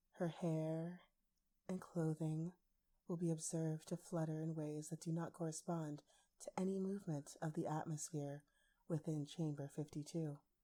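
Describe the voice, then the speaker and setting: A soft-spoken woman talks at a moderate pace with a very deep, low pitch, a dark, mellow tone, and monotone, flat intonation. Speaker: ASMR artist. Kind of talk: ASMR story reading.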